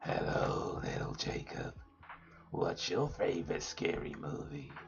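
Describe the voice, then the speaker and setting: Using a put-on character voice, a man talks in a raspy tone at a fairly slow pace. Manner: creepy, taunting.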